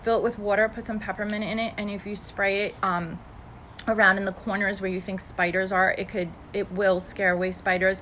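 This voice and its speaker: The delivery is fairly quick, with monotone, flat intonation. The tone comes across bright and sharp. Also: woman, medium pitch for a woman. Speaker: essential oil seller. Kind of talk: live video tutorial. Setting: live video stream. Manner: fast; casual, with many fillers.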